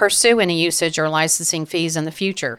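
A woman speaks in a plain, everyday voice. She moves at a fairly quick pace with ordinary pitch variation. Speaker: photographer and podcast host. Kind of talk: casual chat.

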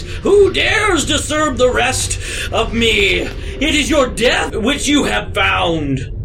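A man shouting in a put-on character voice at a very slow pace, with clear background noise. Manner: startled, menacing.

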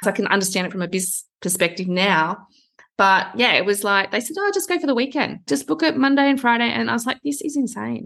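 Her pace is very fast as a woman speaks at medium pitch. Her pitch swings very widely. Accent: Australian. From Australia, small town outside Sydney. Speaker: personal branding coach. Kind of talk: interview.

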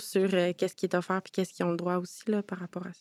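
Delivered in a Quebec accent with monotone, flat intonation, the voice has a dry, close sound with no echo. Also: woman. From Quebec, Montreal. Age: 20s. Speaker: youth participant, community organization founder. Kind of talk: round-table discussion. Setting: conference room with audience of youths.

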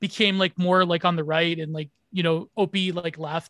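With a Canadian accent, the speaker uses a raised, projected voice with a bright, sharp tone, heard dry and close with no echo. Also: man. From Canada. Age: 20s. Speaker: stream co-host. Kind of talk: casual chat.

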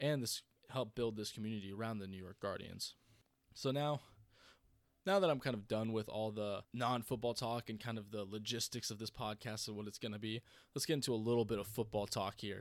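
In a very clean recording with a silent background, a normal speaking voice moves at a fairly quick pace with fairly even intonation. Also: man, medium pitch for a man. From North Carolina, US (military family, moved a lot). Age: 20s. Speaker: sports podcast host. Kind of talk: solo podcast monologue. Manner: casual, conversational with fillers.

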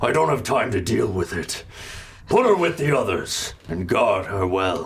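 A put-on character voice is heard with clear noise in the background. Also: man, medium pitch for a man, moderate pace. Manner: menacing, commanding.

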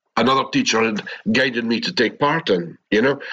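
This man has a Scottish accent. He talks at a moderate pace with ordinary pitch variation. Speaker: participant asking a spiritual teacher for guidance. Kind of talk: question in a live group session. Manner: halting.

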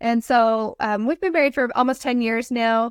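Delivered in a normal speaking voice with an American accent, the speech has a moderate pace and ordinary pitch variation, recorded very cleanly over a silent background with a dry, close sound and no echo. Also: woman. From Utah, US. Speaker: blended family coach. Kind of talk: casual interview.

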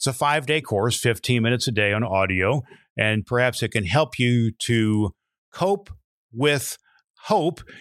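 In a normal speaking voice of medium pitch, a man talks at a fairly slow pace with lively intonation, the sound dry and close with no echo. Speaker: podcast host, former minister. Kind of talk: interview.

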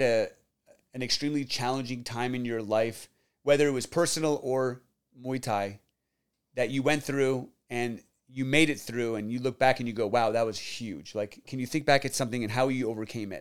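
This man has an unremarkable speaking voice at a medium pitch, with ordinary pitch variation. He talks at a moderate pace on a very clean recording with a silent background. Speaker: podcast host and real estate agent. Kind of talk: interview conversation.

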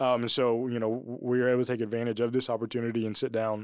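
This very clean recording with a silent background has a man with a plain, everyday voice speaking at a fairly quick pace and medium pitch. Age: 20s. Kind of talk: casual chat.

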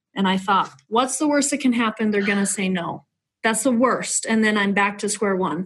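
A woman speaks at a moderate pace with a fairly high, somewhat breathy voice. Her pitch varies in an ordinary way. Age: 30s. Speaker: realtor and nonprofit founder. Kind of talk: testimony.

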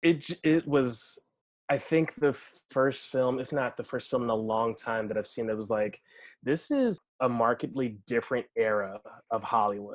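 With an American accent, a man at medium pitch talks in an unremarkable speaking voice at a moderate pace with ordinary pitch variation. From Washington, D.C. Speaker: actor and storyteller. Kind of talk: casual chat.

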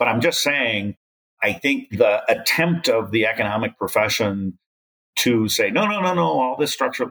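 At a moderate pace, a man talks in a medium-pitched, bright and sharp voice with vocal fry and very even loudness. His pitch swings very widely. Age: 60s. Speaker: development economist. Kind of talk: interview.

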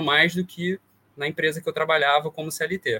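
The man's voice is high in pitch. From Brazil, interior of Rio de Janeiro state (Vassouras). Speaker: consumer-rights lawyer. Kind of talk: interview conversation.

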